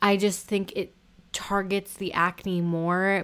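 Speaking at a fairly slow pace and medium pitch, a woman keeps her intonation fairly even on a very clean recording with a silent background. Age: 20s. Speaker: podcast host. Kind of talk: casual solo talk.

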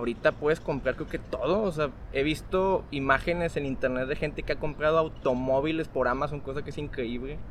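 With a plain, everyday voice, a man speaks at a fairly quick pace in a fairly high pitch with fairly even intonation. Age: young. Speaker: software architect and innovation coach. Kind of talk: casual interview chat.

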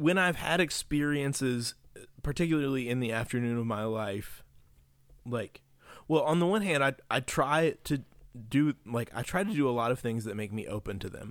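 A man with an American accent and a normal speaking voice, medium-pitched with lively intonation, at a moderate pace on a very clean recording with a silent background. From West Virginia. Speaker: religion lecturer. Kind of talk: casual chat.

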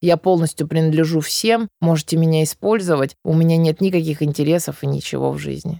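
On a very clean recording with a silent background, a woman with a very deep, low pitch and a dark, mellow tone speaks at a very fast pace with ordinary pitch variation. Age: 30s. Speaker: psychologist. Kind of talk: interview.

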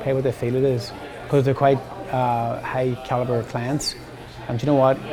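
A man with a Northern Irish accent, medium in pitch and fairly quick in pace, with audible room echo and crowd noise in the background. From Northern Ireland, County Armagh. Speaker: hairstylist and educator. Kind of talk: casual interview.

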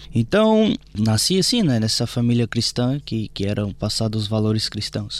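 With a Brazilian accent, a man talks at a moderate pace. The recording is very clean, with a silent background. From Brazil, Brasília. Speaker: priest. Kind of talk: testimony.

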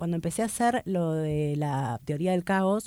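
A woman with a fairly low pitch and a dark, mellow tone speaks in an Argentine accent on a very clean recording with a silent background. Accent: Argentine Spanish (Rioplatense). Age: 40s. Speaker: stand-up comedian. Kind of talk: casual interview chat.

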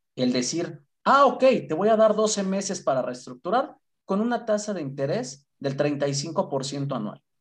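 Very wide pitch swings from a man speaking at a fairly slow pace. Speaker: credit and collections operations manager. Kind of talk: interview. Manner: talkative.

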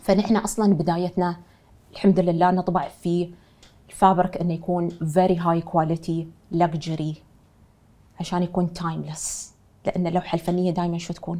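A woman's monotone, flat delivery in an Emirati accent, fairly low in pitch, with a dark, mellow tone at a moderate pace. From UAE, Dubai. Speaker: fashion designer and entrepreneur. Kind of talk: interview.

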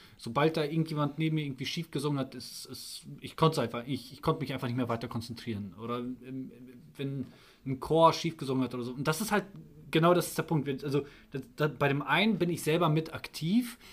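Talking at a fairly quick pace, a man with a fairly high, somewhat breathy voice shows ordinary pitch variation and big swings in loudness. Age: 30s. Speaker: electrician and church musician, podcast guest. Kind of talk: casual interview. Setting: church building after a service. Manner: hesitant, many fillers.

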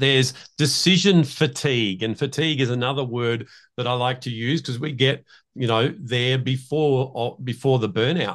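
A man with an Australian accent talks at a moderate pace with medium pitch and ordinary pitch variation. The background is quiet. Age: 60s. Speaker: leadership coach and emotional intelligence trainer. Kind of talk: interview.

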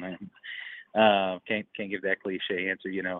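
Here is a man with a plain, everyday voice and an American accent. His pitch is fairly low, and his pace is moderate. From North Carolina. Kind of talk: casual chat.

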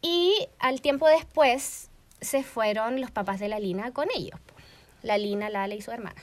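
Speaking in a plain, everyday voice, a woman uses a fairly high pitch with lively intonation and big swings in loudness. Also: fairly slow pace. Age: 20s. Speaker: podcast co-host, online shop owner. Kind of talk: casual chat.

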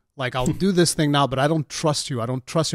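Very fast speech comes from a man with a fairly high voice and ordinary pitch variation. The recording is very clean, with a silent background. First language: Portuguese. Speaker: gaming YouTuber and podcast host. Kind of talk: casual chat.

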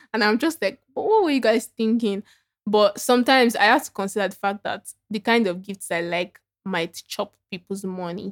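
A woman's fairly high-pitched voice in a Nigerian accent, at a moderate pace, with a dry, close sound and no echo. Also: ordinary pitch variation. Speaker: podcast co-host. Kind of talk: casual chat. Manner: animated.

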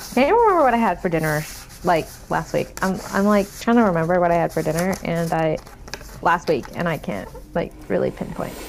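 A woman's fairly low voice moves at a fairly quick clip, its pitch varying in an ordinary way, with noticeable noise behind it. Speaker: podcast co-host. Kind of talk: casual chat. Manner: animated.

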